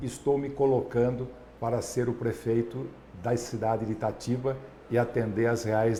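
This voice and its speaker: Monotone, flat male speech with audible room echo and noticeable background noise. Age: 60s. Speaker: physician and mayoral candidate. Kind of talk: political discussion.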